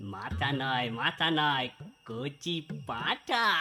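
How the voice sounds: A man does a cartoonish character voice at a medium pitch. His intonation is lively.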